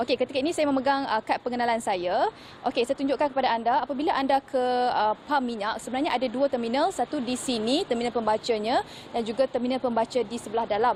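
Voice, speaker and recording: Against noticeable background noise, a woman talks at a very fast pace in a high pitch with ordinary pitch variation. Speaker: news reporter. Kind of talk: live news report. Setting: outdoors at a petrol station.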